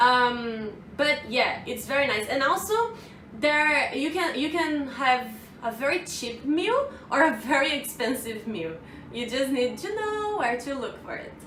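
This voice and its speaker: Over noticeable background noise and audible room echo, a woman with a Brazilian accent speaks at a fairly slow pace in a high pitch with lively intonation. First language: Portuguese. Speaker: vlogger. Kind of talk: casual vlog. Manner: hesitant, with fillers.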